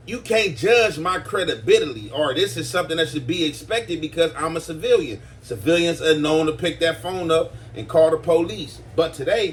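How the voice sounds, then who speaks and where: Against noticeable background noise, the speaker uses lively intonation at a moderate pace. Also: man, fairly high pitch for a man. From US West Coast. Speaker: YouTube commentator. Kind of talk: casual commentary. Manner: hesitant, filler-heavy.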